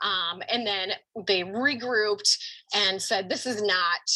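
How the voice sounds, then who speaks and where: Noticeable background noise sits behind the voice. The intonation stays fairly even. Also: woman. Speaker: marketing presenter. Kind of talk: seminar presentation. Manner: hesitant with many fillers.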